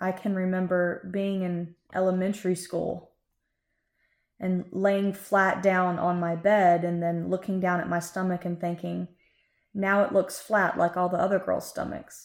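A woman with a Florida accent talks fairly slowly at a medium pitch, her intonation monotone and flat. The recording is very clean, with a silent background. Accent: US Southern (Florida ranch country). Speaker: podcast co-host, cattle industry worker. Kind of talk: casual interview, telling her life story.

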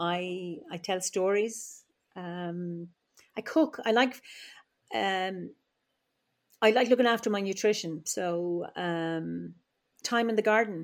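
A woman with a medium pitch speaks in an Irish Midlands accent, with ordinary pitch variation. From Ireland, Offaly (Midlands). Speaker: druid and psychologist. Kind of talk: interview conversation. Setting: remote call from home.

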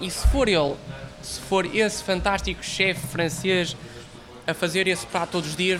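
Against noticeable background noise, a man with a high pitch talks at a moderate pace with fairly even intonation. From northern Portugal, Porto area. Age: 20s. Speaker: baker and miller. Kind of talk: interview. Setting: small café.

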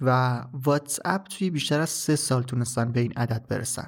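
A man speaks at a moderate pace with a medium pitch and a somewhat breathy sound. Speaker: podcast host. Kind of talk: solo tech podcast monologue.

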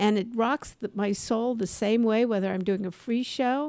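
A woman with an American accent has an ordinary speaking voice. She talks at a fairly slow pace with a fairly high pitch and ordinary pitch variation. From Los Angeles, US. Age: 60s. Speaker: podcast host, comedy and career coach. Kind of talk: casual chat.

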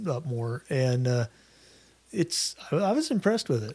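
A man with a normal speaking voice talks at a moderate pace and fairly high pitch. The recording is very clean, with a silent background. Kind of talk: casual chat.

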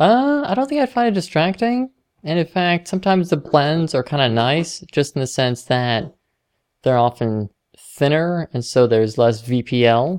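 A woman's very deep, low voice with very wide pitch swings, at a moderate pace against a quiet background. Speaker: podcast co-host. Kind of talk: casual chat. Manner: halting.

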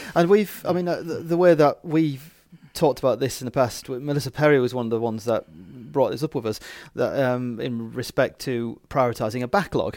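On a very clean recording with a silent background, a man speaks at a fairly quick pace in a normal speaking voice. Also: medium pitch for a man, ordinary pitch variation. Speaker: podcast host. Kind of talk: casual interview.

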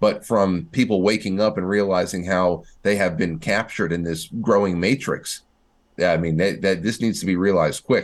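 An ordinary speaking voice from a man, fairly low in pitch, fairly even in intonation, at a moderate pace over a quiet background. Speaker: podcast co-host. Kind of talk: political commentary chat.

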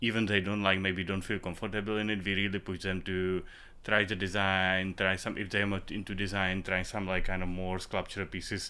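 Using a very deep, low pitch, a man with a Czech accent speaks at a fairly quick pace in a monotone, flat way. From Czech Republic, Prague. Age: 30s. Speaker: ceramicist and art professor. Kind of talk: interview. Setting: ceramics studio.

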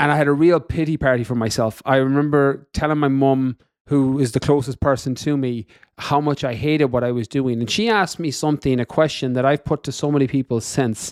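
A man with an Irish accent speaks at a fairly quick pace and a fairly high pitch. The recording is very clean with a silent background and a dry, close sound with no echo. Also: ordinary pitch variation. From west of Ireland. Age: 30s. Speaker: fitness coach and podcaster. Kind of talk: interview conversation.

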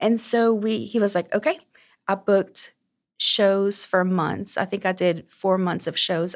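On a very clean recording with a silent background, a woman with an unremarkable speaking voice talks at a fairly slow pace and medium pitch, with ordinary pitch variation. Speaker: small business owner, seamstress. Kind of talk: casual interview chat. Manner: sweet, friendly.

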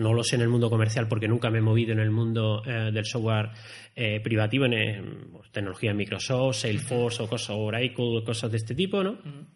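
In audible room echo, a man of medium pitch talks fairly quickly in a somewhat breathy voice with fairly even intonation. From Spain, Andalusia (Málaga, San Pedro de Alcántara). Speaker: software engineering manager. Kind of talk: interview conversation. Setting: university recording room.

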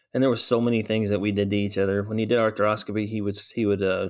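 The delivery is a flat monotone in an American accent. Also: man. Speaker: veterinary technician and program director. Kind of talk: interview. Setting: video call.

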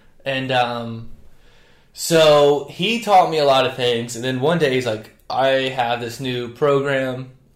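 A man with an American accent speaks at a very slow pace and medium pitch, with ordinary pitch variation and audible room echo. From North Carolina. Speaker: strength coach, former baseball pitcher. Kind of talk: casual chat.

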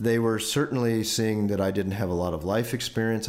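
The man's voice is fairly low, and his intonation stays fairly even. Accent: American. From Indiana, near Chicago. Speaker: leadership consultant. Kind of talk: personal storytelling monologue.

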